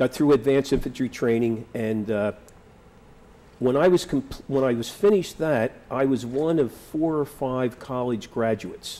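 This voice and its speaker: With a Philadelphia accent, a man speaks at a moderate pace in a medium pitch, his tone dark and mellow, with ordinary pitch variation. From Philadelphia, US. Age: 60s. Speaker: war veteran. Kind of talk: oral history interview. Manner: halting.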